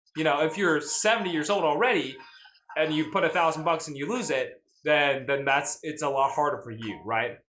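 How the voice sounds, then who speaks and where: With an American accent, a man speaks at a fairly quick pace in an animated tone with lively intonation, and room echo is audible. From US South, Nashville, Tennessee. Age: 20s. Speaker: finance livestreamer. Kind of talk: casual livestream chat. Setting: live stream.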